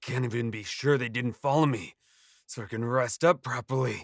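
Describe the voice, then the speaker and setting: Using a put-on character voice, a man speaks raspy at a moderate pace, with medium pitch and fairly even intonation. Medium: audio drama. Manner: bitter, muttering to himself.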